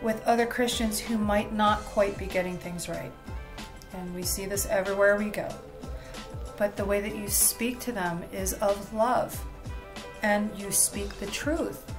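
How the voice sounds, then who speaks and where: Clear music plays behind a woman who speaks fairly slowly with fairly even intonation and long, frequent pauses. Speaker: bible study host. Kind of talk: lecture. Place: home room. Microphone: webcam.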